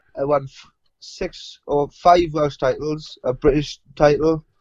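Fairly high-pitched, a man in a South Wales Valleys accent keeps his intonation fairly even. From South Wales, Rhondda. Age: young. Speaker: professional boxer. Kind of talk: interview.

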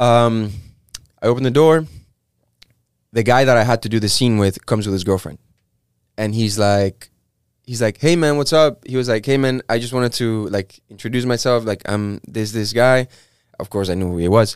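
Speaking at a moderate pace with a Spanish accent, a man leaves long, frequent pauses, the sound dry and close with no echo. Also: medium pitch for a man, ordinary pitch variation. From Mexico. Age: 20s. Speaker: actor. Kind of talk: casual chat. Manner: animated.

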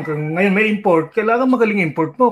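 Ordinary pitch variation marks this man's voice. He speaks at a fairly quick pace. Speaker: basketball coach and former player. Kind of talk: interview.

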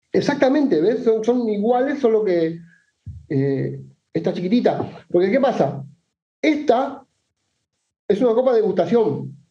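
Speaking at a fairly slow pace with long, frequent pauses, a man with a high pitch makes very wide pitch swings while keeping very even loudness, with audible room echo around him. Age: 40s. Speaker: whisky enthusiast guest. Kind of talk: casual chat.

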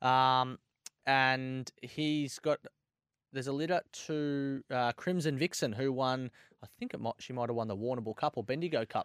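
Speaking with an Australian accent at a moderate pace and medium pitch, the man is heard on a very clean recording with a silent background and a dry, close sound with no echo. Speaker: greyhound racing tipster. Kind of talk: casual racing chat, excited live race reaction. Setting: studio.

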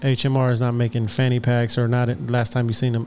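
A very fast, medium-pitched man with an American accent, amid noticeable background noise. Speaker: podcast host. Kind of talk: casual chat. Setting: studio. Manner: animated.

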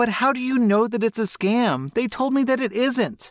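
In a put-on character voice, a man talks at an extremely high pitch and a moderate pace, with ordinary pitch variation and very even loudness.

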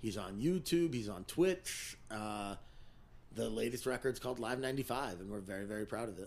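An unremarkable speaking voice: a man with an American accent, fairly low pitch, lively intonation and a moderate pace. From New Jersey, Teaneck (New York City area). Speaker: music manager and show promoter. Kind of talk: casual chat.

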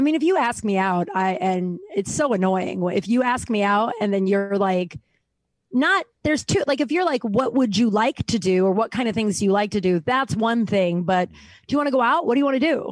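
A woman's unremarkable speaking voice, fairly high in pitch, at a fairly quick pace with lively intonation and very even loudness. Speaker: comedian and author. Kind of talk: casual chat.

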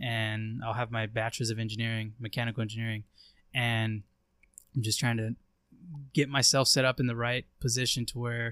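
Recorded very cleanly against a silent background, the dry, close sound with no echo carries a man with an American accent, a medium pitch and a bright, sharp tone, speaking at a moderate pace in monotone, flat intonation. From Eastern Oregon, US. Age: 20s. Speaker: hunting content creator. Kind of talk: casual chat.

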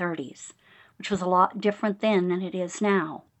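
A woman with an American accent talks at a moderate pace in a plain, everyday voice, with ordinary pitch variation. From California, San Joaquin Valley near Bakersfield. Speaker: author. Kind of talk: interview.

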